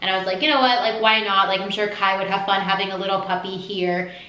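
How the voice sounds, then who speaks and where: A woman at a very fast pace, fairly even intonation, and audible room echo. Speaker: lifestyle vlogger. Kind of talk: casual vlog chat. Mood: warm, affectionate. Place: home room. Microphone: camera far.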